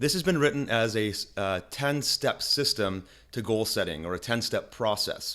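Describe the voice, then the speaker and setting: Lively intonation marks this man's medium-pitched speech, given at a moderate pace. His tone is bright and sharp, and the recording is very clean with a silent background. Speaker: online marketing tutor. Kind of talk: screen-share tutorial. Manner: casual, with frequent fillers and restarts.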